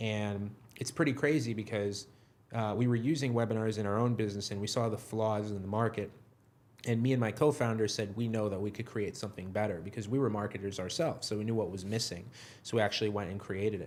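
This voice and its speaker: With a New York accent, a man with a fairly low pitch talks at a very fast pace and with fairly even intonation. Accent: New York American. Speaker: software company co-founder. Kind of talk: interview conversation. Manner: low energy.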